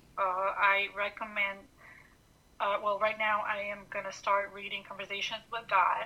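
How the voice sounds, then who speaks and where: A woman's medium-pitched, monotone voice with an Albanian accent, at a moderate pace. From Montenegro. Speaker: guest. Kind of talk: casual chat.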